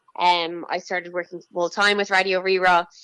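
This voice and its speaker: A woman in a Dublin accent, medium in pitch, at a moderate pace with fairly even intonation over a quiet background. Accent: Dublin Irish. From Ireland, north County Dublin. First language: Irish. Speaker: children's TV presenter. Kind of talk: interview.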